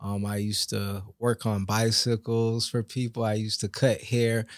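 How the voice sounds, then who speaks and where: A man with an American accent, medium pitch and flat, monotone delivery, in a very clean recording with a silent background. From Lake Worth, Florida. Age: 40s. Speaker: barber. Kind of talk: testimony.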